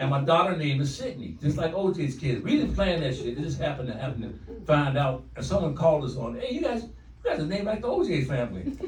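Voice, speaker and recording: With noticeable background noise and audible room echo, a man speaks in an animated tone at a very fast pace with hardly any pauses. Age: 60s. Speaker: stand-up comedian. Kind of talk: stand-up. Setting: stage with audience.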